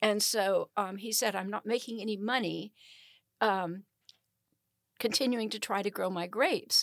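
A woman with an American accent talks at a moderate pace and medium pitch, with vocal fry and ordinary pitch variation. The sound is dry and close, with no echo. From US South, Alabama and Georgia. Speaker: city council member and mayor. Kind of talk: interview. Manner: hesitant, many fillers.

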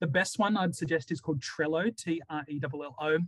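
This man has a fairly high pitch and an Australian accent. His pitch varies in an ordinary way, and the sound is dry and close with no echo. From Sydney, Australia. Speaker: school principal. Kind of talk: interview. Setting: remote call. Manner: hesitant fillers.

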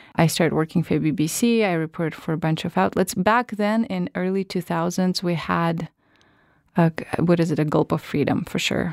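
In a Russian accent, a woman with a fairly low pitch speaks at a moderate pace, the sound dry and close with no echo on a very clean recording with a silent background. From Russia, northern Siberia. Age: 30s. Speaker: podcast producer and journalism lecturer. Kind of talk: interview.

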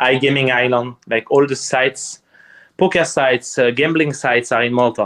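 A man at medium pitch in a French accent, moderate pace and fairly even intonation. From eastern France near Strasbourg. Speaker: poker player and streamer. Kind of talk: casual interview chat. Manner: halting, searching for words.

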